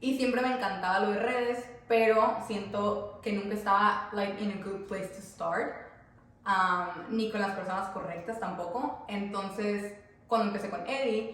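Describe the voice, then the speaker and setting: Noticeable background noise and audible room echo surround a woman whose intonation stays fairly even. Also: medium pitch for a woman, moderate pace. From Mexico, Tabasco. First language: Spanish. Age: 30s. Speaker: content creator. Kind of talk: casual chat. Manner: code-switching between English and Spanish.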